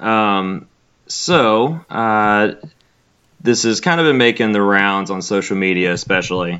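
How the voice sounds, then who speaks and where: A fairly low-pitched man with a Southern US accent and lively intonation. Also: fairly slow pace. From Alabama. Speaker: graduate student in wildlife biology, co-host. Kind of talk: casual chat. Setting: remote call over Skype.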